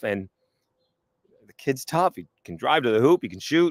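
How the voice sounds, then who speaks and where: Vocal fry and very wide pitch swings from a man at a fairly quick pace, in a dry, close sound with no echo. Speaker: sports talk show host. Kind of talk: casual solo podcast talk. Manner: loud.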